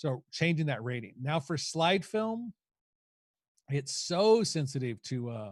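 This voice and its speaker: A somewhat breathy voice speaks at a moderate pace. The recording is very clean, with a silent background and a dry, close sound with no echo. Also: man. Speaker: photography educator. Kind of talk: lecture.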